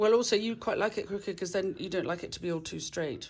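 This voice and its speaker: Speaking at a fairly quick pace with lively intonation, a woman has a plain, everyday voice at a medium pitch. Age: 50s. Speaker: channel host. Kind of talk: casual chat.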